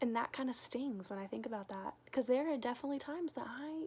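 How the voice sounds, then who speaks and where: A loud woman's voice with a high pitch. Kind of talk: casual devotional talk to camera. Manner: animated.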